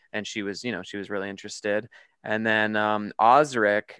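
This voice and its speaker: In a very clean recording with a silent background, a man with a Canadian accent speaks at a fairly low pitch in a bright, sharp tone. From Canada. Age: 30s. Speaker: horror filmmaker. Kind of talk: casual interview.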